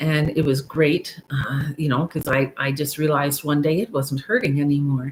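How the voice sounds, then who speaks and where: A woman speaks fairly slowly with a very deep, low pitch. Her voice is somewhat breathy, and her intonation stays fairly even. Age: 60s. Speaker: YouTuber sharing midlife life story. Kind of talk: live stream monologue, personal story. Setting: live stream. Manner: halting, many fillers.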